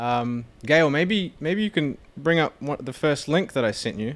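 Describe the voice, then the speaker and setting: A man speaks with a New Zealand accent at a very slow pace. His pitch swings very widely. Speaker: podcast co-host. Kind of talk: casual comedic chat.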